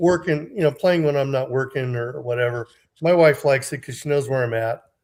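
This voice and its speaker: A man with a fairly high voice speaks at a fairly quick clip, his pitch varying in an ordinary way. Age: 60s. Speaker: game community player, guest. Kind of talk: casual chat. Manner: halting, many fillers.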